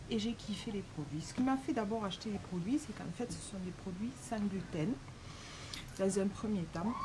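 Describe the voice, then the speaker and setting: A woman at a medium pitch, with audible room echo and noticeable background noise. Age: 40s. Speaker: make-up live streamer, secretary. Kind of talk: casual vlog monologue. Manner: hesitant, many filler sounds.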